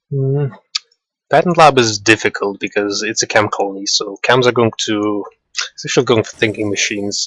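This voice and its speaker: A man with an ordinary speaking voice talks at a medium pitch and a moderate pace, the sound dry and close with no echo. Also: ordinary pitch variation. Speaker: tournament commentator. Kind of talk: live game tournament commentary.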